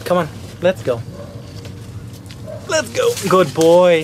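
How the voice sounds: A man with a high voice speaks slowly, his intonation lively, over faint background noise.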